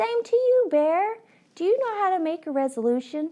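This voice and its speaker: Putting on a squeaky character voice, a woman speaks at a moderate pace at an extremely high pitch with very wide pitch swings. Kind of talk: bedtime story. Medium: read story. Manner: eager, bright.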